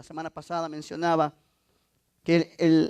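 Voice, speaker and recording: The man's voice is high-pitched. There is no echo, leaving the sound dry and close. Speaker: pastor. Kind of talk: sermon.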